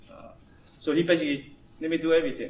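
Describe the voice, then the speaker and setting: A man with a high pitch at a very fast pace, against noticeable background noise. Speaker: engineering manager giving a talk. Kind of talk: informal talk to an audience. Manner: halting, repetitive.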